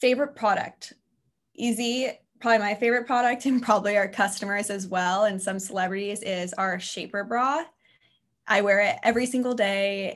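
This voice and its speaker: This woman has an unremarkable speaking voice with ordinary pitch variation. She talks at a moderate pace over a quiet background. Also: medium pitch for a woman. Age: 20s. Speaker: brand manager. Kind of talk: interview.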